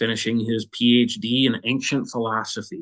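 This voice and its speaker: Speaking in an American accent with a plain, everyday voice, a man keeps a medium pitch, a moderate pace and fairly even intonation. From Minnesota, US Midwest. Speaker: war veteran. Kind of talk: testimony. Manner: casual, with fillers.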